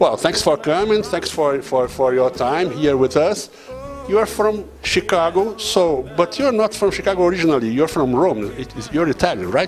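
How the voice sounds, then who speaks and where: Over background music, a man with a Portuguese accent talks at a moderate pace in a high voice with very wide pitch swings. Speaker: radio host. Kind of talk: interview. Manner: halting, stammering.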